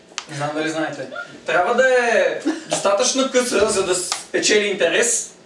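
Animated and playful, a man speaks at a moderate pace with very wide pitch swings, audible room echo, and light background noise. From Bulgaria. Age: 30s. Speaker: stand-up comedian. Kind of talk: stand-up comedy. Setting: stage with audience. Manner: animated, playful crowd banter with ad-libbed jokes. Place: home room. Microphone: camera far.

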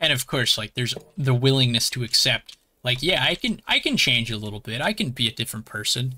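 In a bright, sharp tone, a man talks at a fairly quick pace with a medium pitch and ordinary pitch variation. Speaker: streamer. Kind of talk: casual chat. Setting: live stream. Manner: harsh. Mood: reflective, thoughtful. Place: home room. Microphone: headset.

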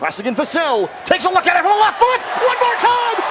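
A man talks with noticeable background noise around him. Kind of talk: live sports commentary (match play-by-play). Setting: stadium broadcast.

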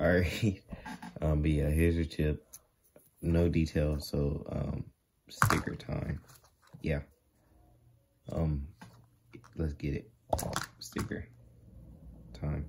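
Very slow delivery with long, frequent pauses over loud background noise. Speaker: toy collector unboxing. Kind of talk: casual unboxing commentary. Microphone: phone near.

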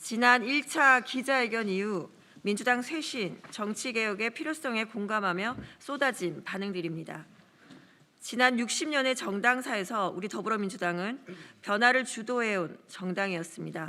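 A woman with a bright, sharp tone and a fairly high voice speaks at a fairly slow pace, her pitch varying in an ordinary way. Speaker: first-term lawmaker. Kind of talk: press statement reading. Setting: press conference room. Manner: formal.

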